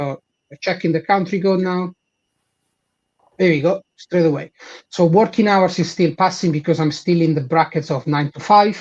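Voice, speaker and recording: A high-pitched man with an Italian accent, fairly even intonation and long, frequent pauses, in dry, close sound with no echo. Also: moderate pace. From Italy. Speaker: head of support and engineering. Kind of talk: live product demo.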